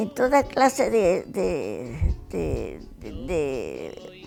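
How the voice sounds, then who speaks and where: Background music plays while a woman talks. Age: 80s+. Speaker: retired factory seamstress. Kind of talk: interview answer.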